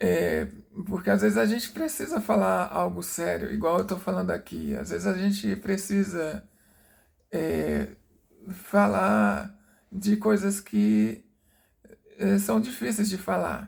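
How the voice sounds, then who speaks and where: A man is soft-spoken and talks at a very slow pace. His speech has long, frequent pauses. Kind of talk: personal testimony. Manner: halting, many fillers.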